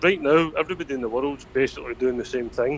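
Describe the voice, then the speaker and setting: Speaking at a fairly quick pace, a man talks with a Scottish accent. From Scotland. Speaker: podcast guest, political commentator. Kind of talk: casual chat. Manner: halting, repeats words.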